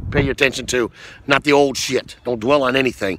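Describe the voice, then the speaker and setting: A man is recorded with a dry sound and no echo. Light background noise sits behind him. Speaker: motivational vlogger. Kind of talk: motivational talk to camera. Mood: earnest, encouraging. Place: open country. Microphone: phone near.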